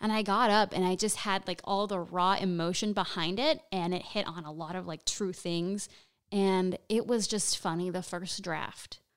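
Over a silent background on a very clean recording, a woman talks at a moderate pace with a medium pitch and ordinary pitch variation. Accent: slight Nicaraguan. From Nicaraguan-American family. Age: 20s. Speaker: stand-up comedian. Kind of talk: casual interview chat. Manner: animated.

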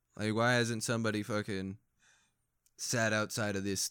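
With a plain, everyday voice and an American accent, a man speaks at a moderate pace in a fairly low pitch with fairly even intonation, on a very clean recording with a silent background. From Phoenix, Arizona, then North Dakota. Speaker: army veteran. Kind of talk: casual chat.

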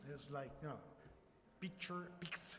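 Someone with an Italian accent speaks amid noticeable background noise and audible room echo. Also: man. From Italy. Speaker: software company founder. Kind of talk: presentation. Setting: live audience, livestreamed. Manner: halting.

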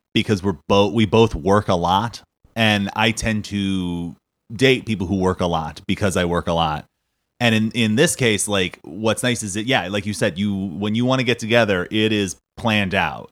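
A man's fairly low voice with an American accent, at a moderate pace and with ordinary pitch variation. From Southern California. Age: 30s. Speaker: comedian and podcast host. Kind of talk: casual chat.

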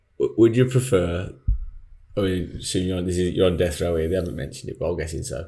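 A man speaks at a very fast pace in a very deep, low voice that is somewhat breathy, with ordinary pitch variation. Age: young. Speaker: podcast co-host. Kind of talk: casual chat.

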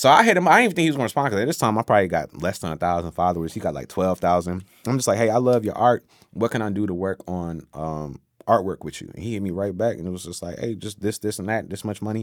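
Over a very clean, silent background, a man with an American accent and a fairly low voice talks very fast with lively intonation and big swings in loudness. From Virginia, Newport News. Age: 30s. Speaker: musician. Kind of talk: casual interview chat.

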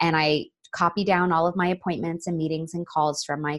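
A woman with an American accent and an ordinary speaking voice talks at a fairly quick pace with fairly even intonation. The recording is very clean with a silent background and a dry, close sound with no echo. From Florida. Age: 30s. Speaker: collaboration consultant. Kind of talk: interview.

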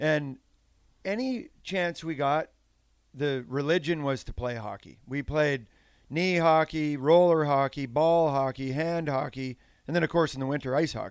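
A man with a Canadian accent and an unremarkable speaking voice, fairly high in pitch with ordinary pitch variation, at a fairly slow pace, on a very clean recording with a silent background. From Saskatchewan, Canada. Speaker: former pro hockey player and coach. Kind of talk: casual chat.

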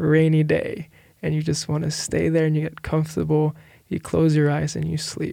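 Speaking at a moderate pace, a man with a fairly high pitch and a dark, mellow tone keeps his intonation monotone and flat. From Philippines. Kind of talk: testimony.

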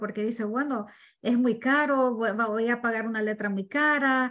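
In a plain, everyday voice, a woman speaks fairly slowly at a fairly high pitch with ordinary pitch variation, in a very clean recording with a silent background. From Ecuador. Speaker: real estate investor. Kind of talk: interview.

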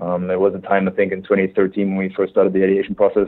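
A man in a German accent, very fast, fairly low in pitch and monotone, flat in intonation. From Germany. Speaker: tech startup founder. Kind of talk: interview. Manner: halting, many filler words.

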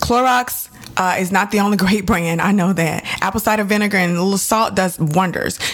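A woman speaks at a fairly quick pace with very even loudness and fairly even intonation. Noticeable background noise sits behind her. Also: medium pitch for a woman. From Texas, Dallas. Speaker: podcast host. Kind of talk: solo podcast monologue. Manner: chatty.

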